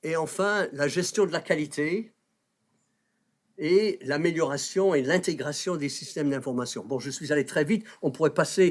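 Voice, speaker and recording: A man's fairly high, a plain, everyday voice, with ordinary pitch variation and a fairly slow pace, in a very clean recording with a silent background. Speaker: health policy professor. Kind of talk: panel talk introducing a debate.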